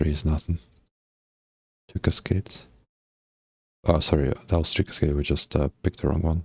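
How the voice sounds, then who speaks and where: Very deep and low, this soft-spoken, somewhat breathy man talks at a fairly quick pace with fairly even intonation and long, frequent pauses, in a dry, close sound with no echo. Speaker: game developer streamer. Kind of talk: live coding stream commentary. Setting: live stream.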